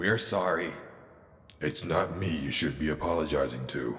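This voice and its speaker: Using a put-on character voice, a man speaks at a moderate pace with a raspy, very deep, low pitch, and there is a slight echo. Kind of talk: audio drama. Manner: commanding, measured.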